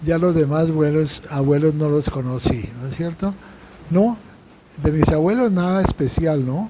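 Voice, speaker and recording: Noticeable background noise runs under a man's fairly high voice. He speaks at a fairly slow pace with ordinary pitch variation. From Colombia, Bogotá. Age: 90s. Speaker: Jesuit priest, interviewee. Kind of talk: interview. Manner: halting, many fillers and repetitions.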